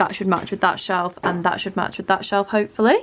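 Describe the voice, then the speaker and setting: Music plays in the background. A woman speaks with an English accent. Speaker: lifestyle vlogger. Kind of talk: vlog narration. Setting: at home. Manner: soft-spoken.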